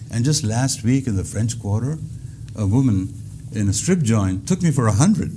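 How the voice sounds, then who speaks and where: A man with an Indian accent speaks at a medium pitch and moderate pace. His intonation is lively, with noticeable background noise behind him. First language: Indian language. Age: 70s. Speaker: comedian. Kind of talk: stand-up comedy routine in an interview. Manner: hesitant with frequent uh fillers.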